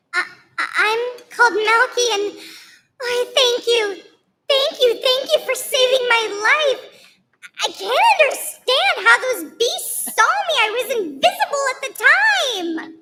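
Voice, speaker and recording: A woman uses a squeaky, put-on character voice at an extremely high pitch. She talks at a fairly slow pace with long, frequent pauses. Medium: stage play. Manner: timid, naive.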